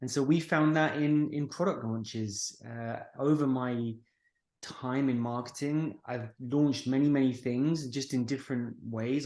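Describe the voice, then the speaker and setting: Against a quiet background, a man talks with a British accent. His pace is moderate and his intonation fairly even. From United Kingdom. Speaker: marketing agency founder. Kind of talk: podcast interview.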